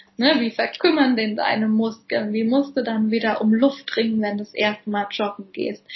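Here is a woman with a fairly high pitch. Her voice is somewhat breathy. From Germany, Palatinate (Kaiserslautern). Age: 30s. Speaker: physiotherapist. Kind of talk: interview. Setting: video call.

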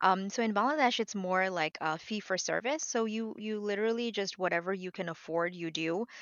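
A woman talks at a fairly quick pace with hardly any pauses, her pitch medium and its variation ordinary. She has a plain, everyday voice. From New York City. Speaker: health insurance advisor and doctor. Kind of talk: interview.

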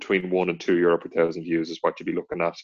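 The speaker has an Irish accent, heard in a dry, close sound with no echo. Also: man. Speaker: podcast co-host, online content creator. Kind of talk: casual chat.

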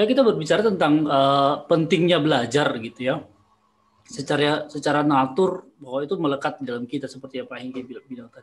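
The man's speech moves along fairly quickly, and his pitch rises and falls in an ordinary way. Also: fairly high pitch for a man, big swings in loudness. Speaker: teacher and podcast host. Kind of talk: casual chat. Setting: video call. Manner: halting, many fillers.

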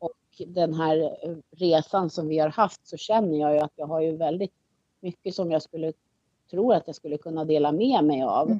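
With a dark, mellow tone and fairly low pitch, a woman talks at a moderate pace and ordinary pitch variation, recorded dry and close with no echo. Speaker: single parent. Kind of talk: casual chat. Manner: halting.

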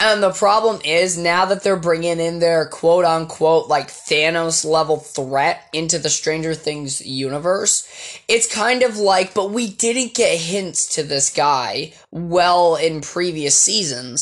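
A woman speaks very slowly at a fairly low pitch, with hardly any pauses and ordinary pitch variation. Noticeable background noise can be heard. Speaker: podcast host. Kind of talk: casual monologue. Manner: halting.

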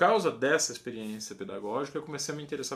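A man's lively intonation rides on a fairly high pitch, delivered in a normal speaking voice. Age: 40s. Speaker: music professor and guitarist. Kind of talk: educational monologue.

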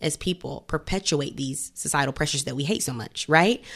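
A woman in a very clean recording against a silent background. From US South, Greenville, South Carolina. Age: 20s. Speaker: podcast host. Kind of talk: casual chat.

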